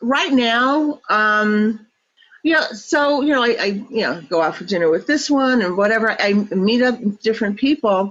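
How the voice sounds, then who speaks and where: With an ordinary speaking voice, a woman talks at a fairly slow pace, her fairly high pitch carried by lively intonation. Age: 60s. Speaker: interviewee on dating. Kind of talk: casual chat.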